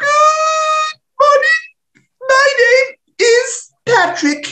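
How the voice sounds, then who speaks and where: A put-on character voice shouts at an extremely high pitch. The pace is very slow. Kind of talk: reading aloud a book passage. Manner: cheerful greeting.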